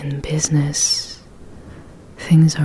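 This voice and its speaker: Over noticeable background noise, a woman speaks very slowly and soft-spoken, her very deep, low voice calm in tone and monotone, with flat intonation. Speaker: ASMR creator. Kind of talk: ASMR personal attention talk to help relax and sleep. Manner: soft-spoken, calm.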